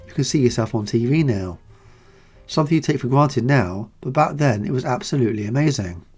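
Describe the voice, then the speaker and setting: Over music in the background, a man speaks at a fairly quick pace with lively intonation. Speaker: channel host narrating. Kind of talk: documentary narration.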